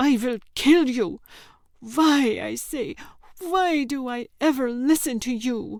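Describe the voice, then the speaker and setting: Using a put-on character voice, a woman speaks high-pitched at a fairly slow pace, with hissing. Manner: hissed through gritted teeth.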